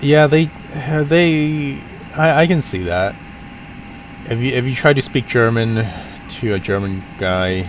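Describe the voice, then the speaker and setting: A man with a Cantonese accent speaks with very wide pitch swings and long, frequent pauses. Noticeable background noise runs under the recording. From US, Portland, Oregon. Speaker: flight sim streamer. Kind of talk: casual live stream chat. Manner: halting.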